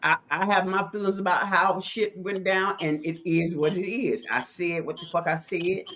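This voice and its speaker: The speech moves at a moderate pace with hardly any pauses and an animated tone, against noticeable background noise. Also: woman, medium pitch for a woman. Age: 60s. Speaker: podcast host. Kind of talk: casual chat. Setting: live stream.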